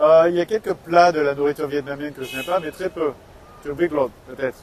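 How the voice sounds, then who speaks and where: Over noticeable background noise, a man speaks fairly quickly at a fairly high pitch. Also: fairly even intonation. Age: 40s. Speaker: author. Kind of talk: interview. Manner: hesitant, many fillers.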